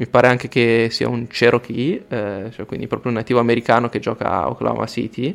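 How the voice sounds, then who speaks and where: With vocal fry and a medium pitch, a man speaks with fairly even intonation and hardly any pauses. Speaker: basketball analyst. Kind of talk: casual chat.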